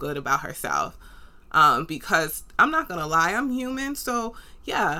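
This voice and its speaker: A woman in a New York accent with an animated tone, lively intonation and a bright, sharp tone, at a fairly slow pace, on a very clean recording with a silent background. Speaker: podcast host. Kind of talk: solo podcast monologue, motivational talk. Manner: animated, conversational.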